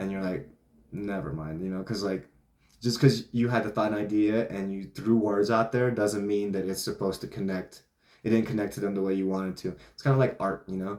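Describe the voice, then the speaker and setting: Fairly low in pitch, a man speaks at a fairly quick pace with fairly even intonation. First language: not English. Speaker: vlogger / self-help talker. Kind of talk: casual monologue. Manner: casual, filler-heavy (like, you know).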